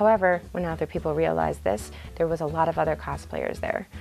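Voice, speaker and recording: A woman talks at a very fast pace while faint music plays in the background. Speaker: convention photographer and reviewer. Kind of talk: casual talk to camera. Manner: stuttering, halting. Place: home room. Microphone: lapel.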